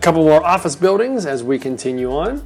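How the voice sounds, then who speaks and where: A woman with a very deep, low pitch at a fairly quick pace, music in the background. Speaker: local real estate vlogger. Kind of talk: vlog tour narration. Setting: outdoors riding a bike. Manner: animated.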